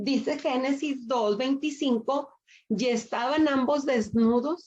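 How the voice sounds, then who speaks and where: A woman talks at a very slow pace, with ordinary pitch variation. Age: 60s. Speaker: women's Bible study teacher. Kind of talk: sermon.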